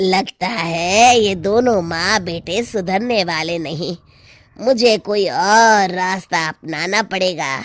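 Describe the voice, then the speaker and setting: A cartoonish character voice, female-sounding and medium in pitch, speaks at a very slow pace. The recording is very clean, with a silent background. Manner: cackling, sly.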